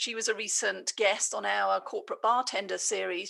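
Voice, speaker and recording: A woman speaks with an English accent. The recording is very clean, with a silent background. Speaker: business leader and coach. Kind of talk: podcast interview.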